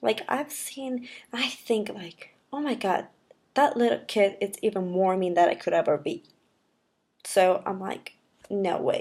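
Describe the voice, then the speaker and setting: A woman speaks at a medium pitch and a fairly slow pace. Her intonation is lively, broken by long, frequent pauses. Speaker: vlogger. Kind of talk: personal vlog monologue. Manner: halting, with pauses to think.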